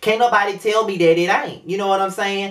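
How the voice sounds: The delivery comes at a fairly quick pace with fairly even intonation. The tone is fairly bright.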